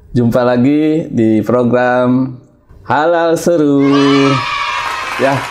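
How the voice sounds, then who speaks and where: Light background noise accompanies a voice whose pitch varies in an ordinary way. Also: man. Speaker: travel podcast host. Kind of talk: casual interview. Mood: cheerful, friendly. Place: studio. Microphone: lapel.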